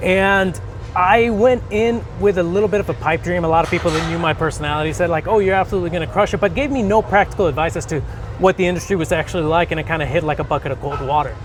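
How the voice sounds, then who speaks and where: A man talks at a very fast pace and high pitch, with ordinary pitch variation. Noticeable background noise is present. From Mexico, Mazatlán. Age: 30s. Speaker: bodybuilder and mortgage lender. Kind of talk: casual interview. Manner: some stammering, self-correcting.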